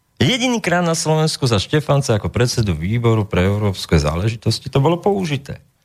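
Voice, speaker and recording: In a very clean recording with a silent background, a man of medium pitch speaks at a fairly quick pace with hardly any pauses, very even loudness and very wide pitch swings. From Slovakia, Trenčín. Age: 40s. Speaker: political blogger and commentator. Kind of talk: interview. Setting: studio. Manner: emotional.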